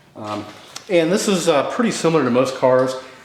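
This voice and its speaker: Noticeable background noise and audible room echo surround the voice. The speaker is a man. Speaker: DIY car repair videomaker. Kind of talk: tutorial. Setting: cold home garage. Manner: casual, halting with fillers.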